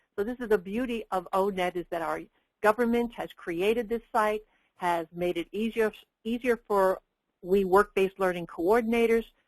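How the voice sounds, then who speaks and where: A woman speaks in a normal speaking voice at medium pitch and moderate pace, with fairly even intonation and a dry, close sound with no echo. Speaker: work-based learning educator and webinar presenter. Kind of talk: webinar presentation. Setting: webinar.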